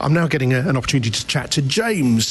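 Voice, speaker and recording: A man talks fairly quickly with lively intonation, with noticeable background noise behind him. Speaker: radio reporter. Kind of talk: radio report. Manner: whispering.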